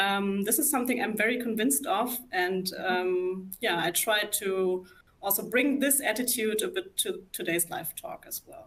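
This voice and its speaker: A woman with a German accent speaks at a moderate pace and a fairly high pitch, with very wide pitch swings and big swings in loudness, against noticeable background noise. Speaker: psychologist. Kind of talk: live talk interview. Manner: hesitant, many fillers.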